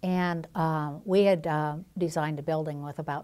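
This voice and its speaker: Recorded very clean against a silent background, a woman speaks with a very deep, low pitch and fairly even intonation. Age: 60s. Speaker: public health expert. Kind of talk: TV interview. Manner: halting, many fillers.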